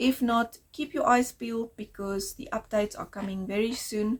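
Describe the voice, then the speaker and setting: Somewhat breathy, a woman speaks at a fairly high pitch. Her pace is moderate. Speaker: knitting podcaster. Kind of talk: casual video podcast monologue.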